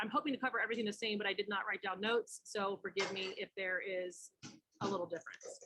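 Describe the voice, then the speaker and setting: A woman at a very fast pace. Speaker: direct sales team trainer. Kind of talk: online training tutorial.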